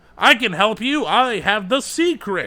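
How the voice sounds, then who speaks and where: In a put-on character voice, a man speaks high-pitched and fairly slowly, raised and projected, with a theatrical tone. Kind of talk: salesy. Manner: booming, theatrical, full of bravado.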